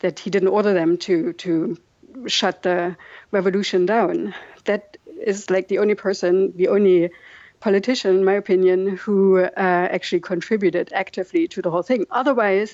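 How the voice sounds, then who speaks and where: Speaking with a German accent, a woman keeps a medium pitch, a moderate pace and fairly even intonation. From East Germany, Dresden area. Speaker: documentary filmmaker. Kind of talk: interview. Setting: video call.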